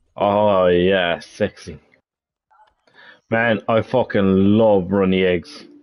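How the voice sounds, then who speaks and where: Pausing long and often, a man speaks at a very slow pace with fairly low pitch and fairly even intonation. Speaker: gaming streamer. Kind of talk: casual chat.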